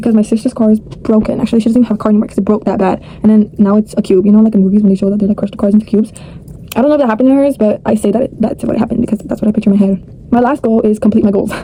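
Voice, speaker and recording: A woman's fairly high voice at a very fast pace, fairly even in intonation, with noticeable background noise behind it. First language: not English. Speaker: vlogger. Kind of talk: casual vlog monologue.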